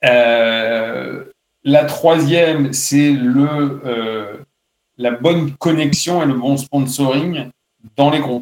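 A man's fairly high voice with fairly even intonation at a very slow pace. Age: 40s. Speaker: automotive industry executive. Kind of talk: interview. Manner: hesitant, many fillers and repetitions.

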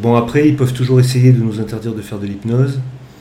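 A man's medium-pitched voice shows ordinary pitch variation while noticeable background noise and audible room echo surround it. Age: 40s. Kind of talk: interview.

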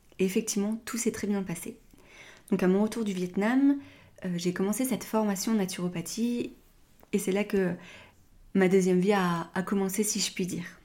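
In a very clean recording with a silent background, a woman with a medium pitch and a somewhat breathy, dark, mellow tone speaks at a moderate pace with fairly even intonation and long, frequent pauses. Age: 30s. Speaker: podcast host, naturopath. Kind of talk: personal testimony monologue.

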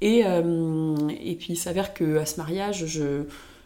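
A woman's dark, mellow voice at a fairly low pitch and very slow pace, with ordinary pitch variation and audible room echo. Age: 20s. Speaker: podcast guest sharing her love life. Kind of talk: casual chat. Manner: halting, many repeated words.

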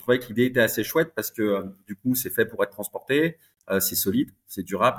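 A man is talking. The audio sounds dry and close, without any echo. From Paris region, France. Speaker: entrepreneur. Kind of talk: interview.

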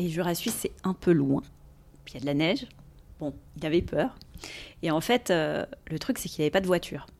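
Vocal fry marks a woman's fairly low voice, delivered at a moderate pace with lively intonation. She takes long, frequent pauses. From Paris region, France. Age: 40s. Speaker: recruiter. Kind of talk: casual interview. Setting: office.

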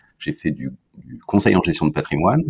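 The voice carries vocal fry. The sound is dry and close, with no echo. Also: man. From Brittany, France. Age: 50s. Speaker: marketing director. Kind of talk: interview conversation. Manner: hesitant, frequent repetitions.

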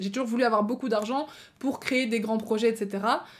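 A woman speaks in an animated tone, her fairly high voice somewhat breathy and her pitch varying in an ordinary way. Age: 20s. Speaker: podcast host. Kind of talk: casual monologue, storytelling.

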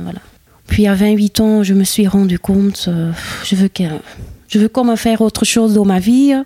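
A woman with a Flemish accent speaks at a fairly slow pace with fairly even intonation. The sound is dry and close with no echo, though noticeable background noise is present. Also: medium pitch for a woman. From Flanders, Campine (Herselt). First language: Dutch (Flemish) (speaking French). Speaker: Flemish woman settled in the Ardennes. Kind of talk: interview conversation. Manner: halting, many hesitations.

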